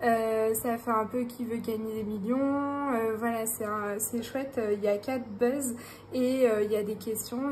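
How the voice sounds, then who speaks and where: Audible room echo surrounds a woman whose fairly high voice has a monotone, flat intonation. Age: 30s. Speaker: budgeting YouTuber, self-employed health worker. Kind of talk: casual vlog. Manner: hesitant, many fillers.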